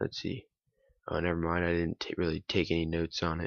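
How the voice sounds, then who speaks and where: Quiet speech at a fairly quick pace. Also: man. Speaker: YouTuber. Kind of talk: casual vlog monologue, partly reading from notes. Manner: quiet, held-back delivery; hesitant with many fillers.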